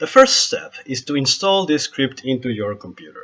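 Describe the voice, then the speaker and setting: With a strong Spanish accent, a man speaks at a fairly slow pace. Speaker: photographer and software tutorial maker. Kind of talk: software tutorial screen-recording narration.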